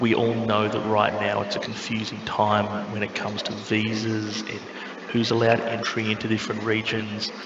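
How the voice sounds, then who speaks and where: There is audible room echo and noticeable background noise. A man with an Australian accent talks in a fairly low pitch with monotone, flat intonation. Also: moderate pace. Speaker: airline representative. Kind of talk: webinar presentation.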